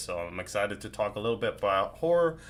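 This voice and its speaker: A man's bright, sharp tone. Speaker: horror content creator, podcast host. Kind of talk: casual podcast interview host.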